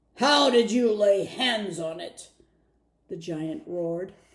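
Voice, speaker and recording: In a loud, gruff, raspy put-on character voice at a middle pitch, the speaker goes at a fairly slow pace. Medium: read story. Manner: gruff, loud.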